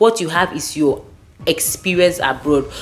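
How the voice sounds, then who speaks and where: With a Nigerian accent, a woman with a fairly low pitch speaks at a fairly quick pace, her pitch swinging very widely. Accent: Nigerian, largely kept. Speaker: lawyer and career advice vlogger. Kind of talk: advice talk to camera. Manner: conversational, with fillers and restarts.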